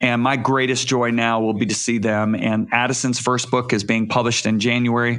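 A man with a Midwestern American accent speaks at a moderate pace. His voice sits at a medium pitch against a quiet background. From Michigan. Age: 60s. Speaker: author and evangelist. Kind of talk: interview.

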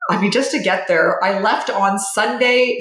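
A woman talks in a normal speaking voice at medium pitch. Her pace is moderate. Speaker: doctor and podcast host. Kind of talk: casual chat.

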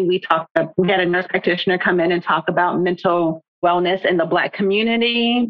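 Here is a woman with an unremarkable speaking voice. Her medium pitch shows ordinary variation. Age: 40s. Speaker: book club founder. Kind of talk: casual chat.

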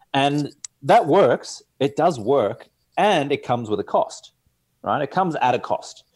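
Speaking rather slowly, a man talks in an Australian accent. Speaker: sleep coach and entrepreneur. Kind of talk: casual interview chat.

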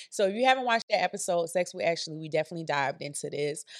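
A woman with an American accent and a fairly low pitch, in a very clean, dry, close recording with a silent background and no echo. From US small town. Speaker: podcast host. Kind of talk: casual chat.

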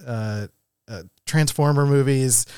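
A man's plain, everyday voice with an American accent, medium pitch and ordinary pitch variation, in a very clean recording with a silent background and a dry, close sound with no echo. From Philadelphia. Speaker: podcast co-host, graphic designer. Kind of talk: casual chat. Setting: studio.

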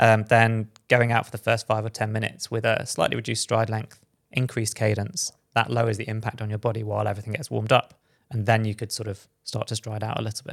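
A man with a British accent talks at a very fast pace in a medium pitch with monotone, flat intonation. The recording is very clean and dry, close with no echo, against a silent background. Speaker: podcast host, former pro runner. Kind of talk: casual chat. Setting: studio.

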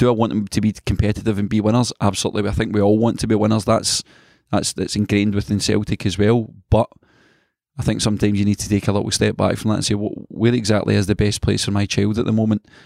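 Very fast speech from a man in a Scottish accent, fairly low in pitch and monotone, flat in intonation, on a very clean recording with a silent background. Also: dry, close sound with no echo. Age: 30s. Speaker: youth football coach. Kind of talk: interview.

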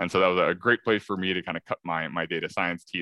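A man speaks with an American accent and a very deep, low pitch. His intonation stays fairly even. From US Midwest. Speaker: chief strategy officer. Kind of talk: interview conversation.

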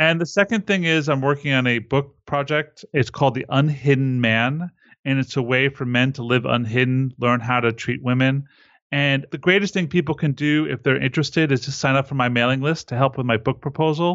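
A man talks at a fairly quick pace and a fairly high pitch. He has an ordinary speaking voice with ordinary pitch variation. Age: 40s. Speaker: relationship coach and lecturer. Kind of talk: interview.

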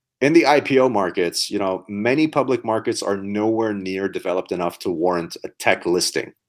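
In a plain, everyday voice, a man speaks at a fairly quick pace and fairly low pitch with lively intonation and hardly any pauses. The recording is very clean, with a silent background. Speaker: podcast co-host, startup investing talk. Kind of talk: casual chat.

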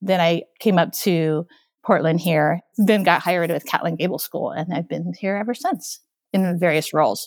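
On a very clean recording with a silent background, a woman speaks at a moderate pace with ordinary pitch variation and vocal fry. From Okinawa, Japan. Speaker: school technology director. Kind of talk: interview.

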